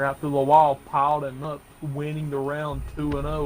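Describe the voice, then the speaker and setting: Over noticeable background noise, a man speaks in a fairly high pitch with a monotone, flat intonation. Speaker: esports commentator. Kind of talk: live commentary. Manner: halting.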